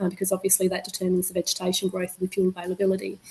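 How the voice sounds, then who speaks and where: With an Australian accent, a woman talks over noticeable background noise. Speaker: meteorologist. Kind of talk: webinar presentation. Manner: fast.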